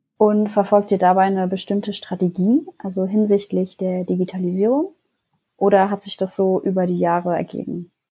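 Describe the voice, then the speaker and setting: This woman's voice sits at a medium pitch with a dark, mellow tone and is somewhat breathy. Her intonation is fairly even. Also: moderate pace. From Karlsruhe, Germany. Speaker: media student. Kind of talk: interview.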